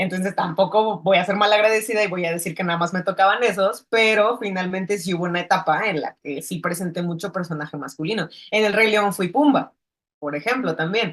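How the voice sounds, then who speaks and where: She has a normal speaking voice at medium pitch. The woman talks at a fairly quick pace. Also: ordinary pitch variation. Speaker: filmmaker. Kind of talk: interview.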